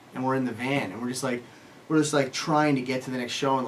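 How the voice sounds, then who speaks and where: The speech runs at a very fast pace. Noticeable background noise is present. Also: man. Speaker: rock musician. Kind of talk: interview answer. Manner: casual, hesitant.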